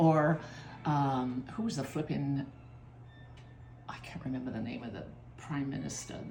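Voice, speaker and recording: A woman's somewhat breathy voice moves along at a moderate pace. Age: 80s+. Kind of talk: cooking demonstration. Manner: casual, chatty.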